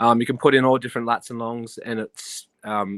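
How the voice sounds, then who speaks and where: A man with an Australian accent talks at a moderate pace with fairly even intonation, the recording very clean and silent in the background, dry and close with no echo. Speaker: army soldier calling into a livestream. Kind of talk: casual chat. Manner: halting.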